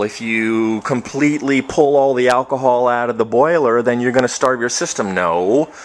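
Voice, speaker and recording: At a moderate pace, a man speaks in a medium pitch with ordinary pitch variation over noticeable background noise. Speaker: home distiller. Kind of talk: video tutorial. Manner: mumbling.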